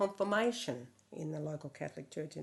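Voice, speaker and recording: Fairly low-pitched speech from a woman with an Australian accent. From Yass, New South Wales, Australia. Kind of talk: documentary interview answer.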